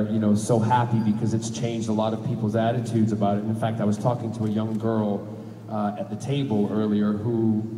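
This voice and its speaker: With noticeable background noise, a man with an American accent speaks at a moderate pace in a fairly low, monotone, flat voice. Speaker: actor. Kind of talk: interview answer.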